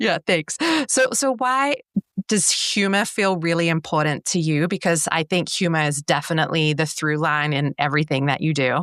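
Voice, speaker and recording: A woman speaks with an Australian accent. Her loudness stays very even. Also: lively intonation, moderate pace. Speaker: interviewer.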